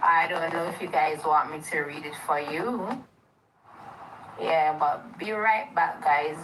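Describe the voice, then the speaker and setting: Speaking very slowly with ordinary pitch variation, a woman is heard against audible room echo. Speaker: livestreamer. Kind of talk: casual live stream chat. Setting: live stream.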